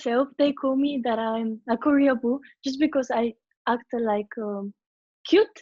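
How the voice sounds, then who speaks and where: Delivered at a fairly slow pace with ordinary pitch variation, this voice carries a Spanish accent. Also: woman, high pitch for a woman. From Venezuela / Spain. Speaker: K-pop group singer and dancer. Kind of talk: interview.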